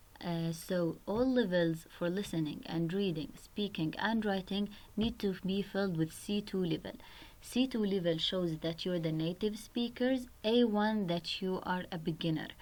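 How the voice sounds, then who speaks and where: A woman speaks with an Arabic accent at medium pitch. Her pace is moderate and her pitch variation ordinary. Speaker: website tutorial presenter. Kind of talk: tutorial.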